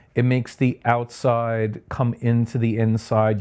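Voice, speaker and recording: Against a quiet background, a man talks in a Long Island accent. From Long Island, New York (Sayville). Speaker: architect. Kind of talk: podcast interview. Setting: at home. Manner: casual, hesitant with fillers.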